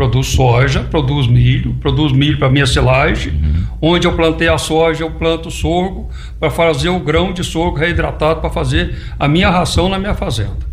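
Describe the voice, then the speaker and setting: Audible room echo and noticeable background noise come through as a man talks at a moderate pace. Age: 70s. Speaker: farmer and electrical engineer. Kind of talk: radio interview.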